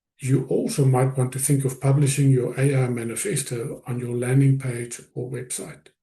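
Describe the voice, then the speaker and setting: A man talks at a moderate pace with hardly any pauses. His tone is dark and mellow, somewhat breathy. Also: medium pitch for a man, fairly even intonation. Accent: non-native. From South Africa. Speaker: business coach / presenter. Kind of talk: webinar presentation.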